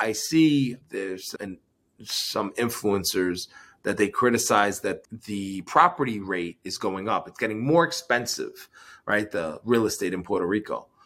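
A man with a plain, everyday voice speaks fairly low and at a fairly slow pace, using lively intonation. The recording is very clean, with a silent background. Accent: American. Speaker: entrepreneur and investor. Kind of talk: interview.

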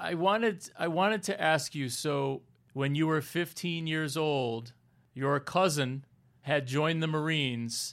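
Speaking at a fairly slow pace, a man has an unremarkable speaking voice, pitched fairly high with ordinary variation. The recording is very clean, with a silent background. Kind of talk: interview intro and conversation. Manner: formal, warm.

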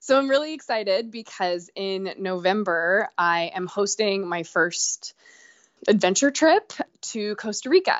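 A woman with an unremarkable speaking voice, medium in pitch, with lively intonation at a fairly slow pace. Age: 30s. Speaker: hiker and adventure trip host. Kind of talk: casual interview. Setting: phone call.

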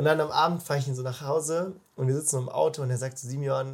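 On a very clean recording with a silent background, a man talks very fast in a somewhat breathy, medium-pitched voice. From Baden, southwest Germany (Freiburg). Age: 20s. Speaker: bible school leader. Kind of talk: casual interview. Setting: in person, face to face. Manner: animated, colloquial with many fillers.

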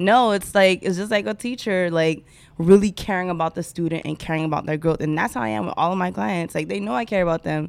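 Very fast and with very wide pitch swings, a woman speaks in a fairly low voice. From Miami, Haitian family. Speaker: brand coach. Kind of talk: casual interview.

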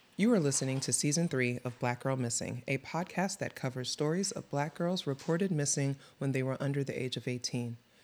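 Someone with an American accent speaks fairly quickly, with hardly any pauses. The recording is very clean, with a silent background. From the Bronx, New York. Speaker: podcast co-host. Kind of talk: casual chat; scripted intro reading. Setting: studio. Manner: animated.

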